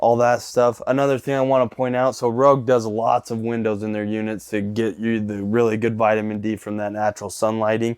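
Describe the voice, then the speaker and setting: An unremarkable speaking voice moves at a fairly quick pace in a very clean recording with a silent background. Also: man. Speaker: RV salesperson giving a tour. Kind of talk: product walkthrough tour. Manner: casual, upbeat.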